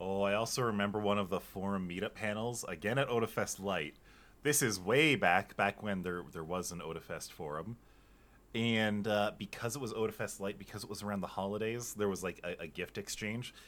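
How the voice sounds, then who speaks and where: A man uses a plain, everyday voice at a fairly low pitch. His pitch variation is ordinary and his pace fairly quick. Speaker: convention podcast co-host. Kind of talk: casual chat.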